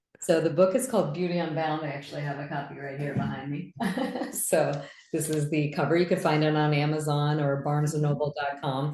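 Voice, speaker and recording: A woman's very deep, low voice at a fairly quick pace, fairly even intonation, audible room echo and noticeable background noise. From US, raised in Indian immigrant family. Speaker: physician and business coach. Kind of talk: interview. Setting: video call.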